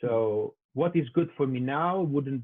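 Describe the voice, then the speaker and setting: A man with an Italian accent speaks at a fairly high pitch. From Italy. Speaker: UX designer. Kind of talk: casual interview.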